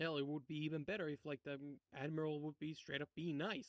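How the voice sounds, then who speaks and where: A man with a non-native accent talks at a fairly quick pace and a fairly high pitch, with fairly even intonation. The sound is dry and close, with no echo. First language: not English. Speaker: video essayist, game critic. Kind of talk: video essay commentary. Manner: casual, hesitant with fillers.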